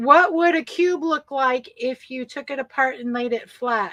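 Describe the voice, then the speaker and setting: A woman speaks in a raised, projected voice at a high pitch, bright and sharp in tone, with ordinary pitch variation. Her pace is fairly slow, and the sound is dry and close with no echo. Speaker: podcast co-host. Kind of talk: live stream chat presentation.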